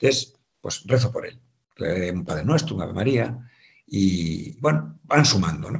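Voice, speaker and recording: A man with a Galician accent talks at a fairly slow pace, with very wide pitch swings and big swings in loudness. His voice carries vocal fry. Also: quiet background. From Galicia, Spain (Santiago de Compostela). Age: 50s. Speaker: economics teacher and businessman; guest. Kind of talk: testimony. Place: home room.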